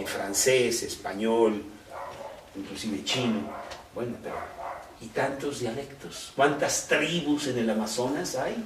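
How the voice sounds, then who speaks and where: The speech is very slow, with long, frequent pauses and ordinary pitch variation. Noticeable background noise and audible room echo fill the recording. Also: man, medium pitch for a man. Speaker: Bible teacher. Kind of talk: Bible study. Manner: conversational.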